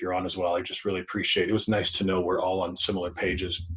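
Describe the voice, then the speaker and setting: A man's fairly low, somewhat breathy voice with a Canadian accent and monotone, flat intonation. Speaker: public speaker. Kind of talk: talk. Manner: fast.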